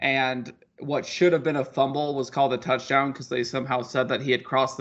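An unremarkable speaking voice, a man at medium pitch and a moderate pace. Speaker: podcast co-host. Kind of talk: casual sports podcast chat. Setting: remote, recording from Colorado.

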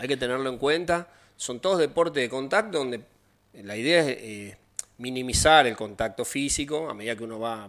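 A man with an unremarkable speaking voice talks at a moderate pace in a medium pitch, his intonation lively. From Argentina, Rosario. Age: 50s. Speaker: taekwondo instructor. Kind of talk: interview.

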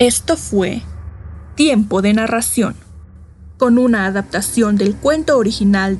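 Music plays in the background as a woman speaks in a dramatic tone at a fairly slow pace. Her pitch is fairly high, with ordinary pitch variation. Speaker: announcer. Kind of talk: scripted intro and credits. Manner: clear, suspenseful, dramatic.

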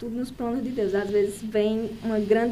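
Room echo is audible throughout. The intonation stays fairly even at a moderate pace. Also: woman. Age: 30s. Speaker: saleswoman and course participant. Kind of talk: casual chat.

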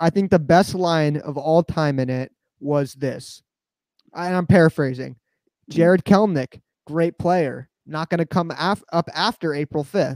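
At a fairly slow pace, a man speaks in a fairly high voice with ordinary pitch variation. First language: Spanish. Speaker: baseball podcast host. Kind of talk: casual chat. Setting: livestream with chat.

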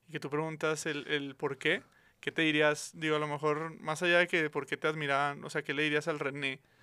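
A man with a Mexican accent has a fairly high pitch and a bright, sharp tone. The recording is very clean with a silent background. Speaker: podcast host. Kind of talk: casual chat.

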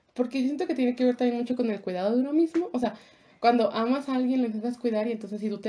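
An ordinary speaking voice from a woman, pitched fairly high and varying in pitch in an ordinary way. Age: 20s. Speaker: podcast co-host. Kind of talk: casual chat.

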